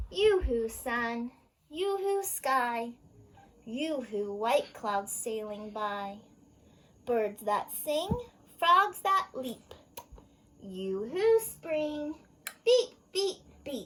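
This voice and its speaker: A woman at a high pitch, with a very slow pace and long, frequent pauses. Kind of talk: children's storytime read-aloud. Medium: read story. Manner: cheerful, sing-song, gentle.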